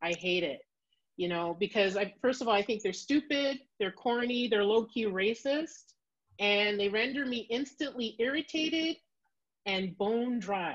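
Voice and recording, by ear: A woman with a Canadian accent speaks at a fairly slow pace, her fairly high pitch carrying lively intonation.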